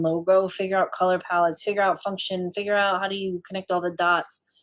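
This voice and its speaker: Using an ordinary speaking voice, a woman talks at medium pitch and a fairly quick pace. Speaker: branding and web designer. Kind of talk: live stream talk. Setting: Facebook live stream.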